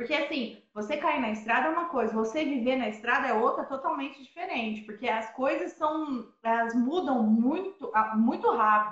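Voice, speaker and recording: Here a woman with a high pitch talks at a moderate pace with hardly any pauses. Her pitch varies in an ordinary way. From southern Minas Gerais, Brazil. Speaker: van-life traveler. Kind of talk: casual interview. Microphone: unstable internet connection.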